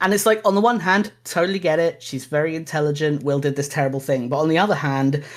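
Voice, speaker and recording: Speech in a southern English accent comes at a very fast pace with hardly any pauses. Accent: generic southern English. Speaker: podcast co-host. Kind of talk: casual chat.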